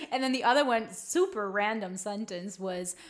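In a Spanish accent, a woman talks with a fairly high pitch, ordinary pitch variation and a bright, sharp tone. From small town in Colombia. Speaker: podcast co-host, spiritual teacher. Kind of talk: casual chat.

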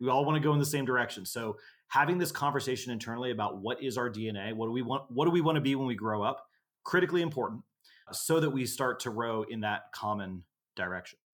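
Very fast male speech at a medium pitch, in a Texas accent. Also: ordinary pitch variation. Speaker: instructor. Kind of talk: casual interview chat.

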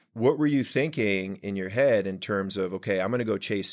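In an American accent, a man talks at a moderate pace with a fairly low pitch; his is a plain, everyday voice. The recording is very clean, with a silent background. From Washington DC. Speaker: podcast host. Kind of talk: casual chat. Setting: studio.

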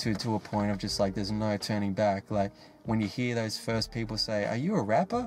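With an Australian accent, this man keeps up a fairly quick pace. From Australia, Sydney. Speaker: hip hop artist. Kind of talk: casual interview monologue. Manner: animated.

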